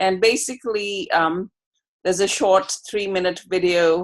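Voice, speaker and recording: It's a normal speaking voice with an American accent. Pitch variation is ordinary and the pace is fairly slow. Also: woman. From outside the US. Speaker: researcher. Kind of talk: video call discussion. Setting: video call.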